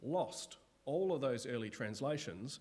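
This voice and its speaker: Using a normal speaking voice, a man talks at a fairly slow pace with a medium pitch and lively intonation. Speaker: Bible lecturer. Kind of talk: lecture. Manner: casual.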